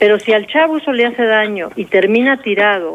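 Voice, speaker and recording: There is noticeable background noise. Through it, a woman talks at a fairly high pitch. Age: 50s. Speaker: addiction specialist. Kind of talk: radio interview.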